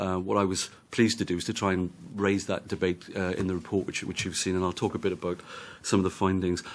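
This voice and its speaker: Talking very fast with a Welsh accent, a man with a very deep, low pitch keeps a monotone, flat intonation in a very clean recording with a silent background. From Wales. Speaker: policy adviser and report author. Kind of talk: committee hearing testimony. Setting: parliamentary committee hearing.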